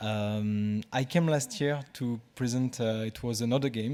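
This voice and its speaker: Here a man talks with a French accent and fairly even intonation. The recording is very clean, with a silent background. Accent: French accent, noticeable. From France. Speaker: game designer. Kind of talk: conference talk. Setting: stage with audience. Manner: halting, many fillers and repetitions.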